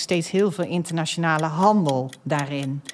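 A woman talks in a fairly low pitch. Noticeable background noise runs under her voice. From Netherlands, North Brabant. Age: 50s. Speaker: energy company executive and podcast host. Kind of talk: casual chat. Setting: studio.

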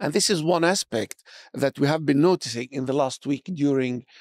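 On a very clean recording with a silent background, a man with an Arabic accent speaks at a fairly high pitch in a dry, close sound with no echo. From Palestine. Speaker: academic, research center director. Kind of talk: interview.

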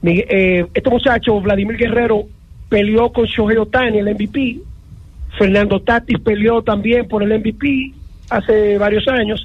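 Over noticeable background noise, a man with a high pitch talks with fairly even intonation. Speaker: sports commentator. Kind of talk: sports talk radio.

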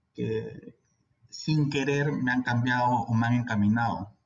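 The speech comes at a fairly slow pace and sounds somewhat breathy. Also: man. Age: 30s. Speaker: infectious disease physician. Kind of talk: interview. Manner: halting.

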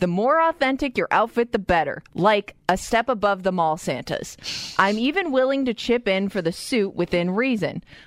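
A normal speaking voice moves at a moderate pace with lively intonation and very even loudness, the sound dry and close with no echo. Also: woman, medium pitch for a woman. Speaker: radio co-host. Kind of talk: casual chat. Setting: studio.

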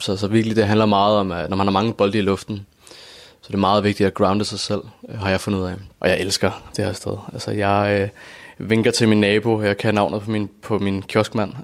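At a moderate pace, a man talks in a flat, monotone way. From Copenhagen, Denmark. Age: 20s. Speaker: former YouTuber. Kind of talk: interview. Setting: at home. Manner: halting.

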